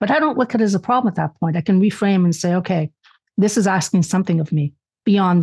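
With a dry, close sound and no echo, a woman talks at a very fast pace in a medium-pitched, somewhat breathy voice with ordinary pitch variation. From Canada, born in Spain. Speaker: author and lecturer. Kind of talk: casual chat.

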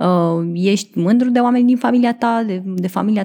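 A woman speaks fairly quickly in a dark, mellow tone. Her intonation stays fairly even. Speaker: podcast host. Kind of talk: casual chat.

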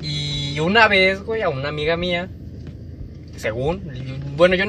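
A man with a Mexican accent, amid noticeable background noise and audible room echo. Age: 20s. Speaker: podcast co-host. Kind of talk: casual chat.

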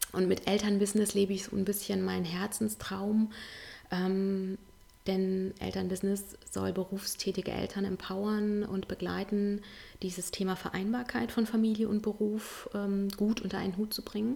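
A woman at medium pitch, somewhat breathy, with a dark, mellow tone and monotone, flat intonation. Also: moderate pace. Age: 40s. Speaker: parenting and work-life coach. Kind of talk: casual interview.

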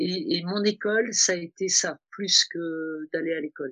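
Ordinary pitch variation comes through in speech at a fairly slow pace. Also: woman. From Tunisia. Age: 60s. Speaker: fashion consultant. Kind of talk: interview. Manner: hesitant, many fillers.

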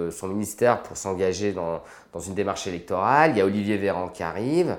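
In a normal speaking voice, a man talks fairly quickly at a fairly low pitch. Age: 40s. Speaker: anesthesiologist and intensive care doctor. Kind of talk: interview.

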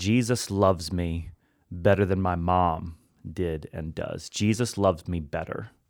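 A man with an American accent speaks in a very deep, low pitch at a fairly slow pace. His intonation is fairly even, on a very clean recording with a silent background. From US Midwest (Hannibal, Missouri). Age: 30s. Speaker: pastor. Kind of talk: casual interview. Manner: casual, playful.

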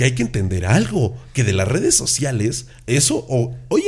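In an animated tone, a man speaks at a moderate pace with ordinary pitch variation and a somewhat breathy voice. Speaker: podcast host. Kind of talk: casual chat.

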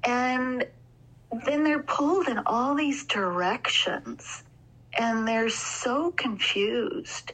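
Over noticeable background noise, a woman talks very slowly in a high voice with lively intonation and very even loudness. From Alberta, Canada. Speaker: sleep training consultant. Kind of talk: casual interview.

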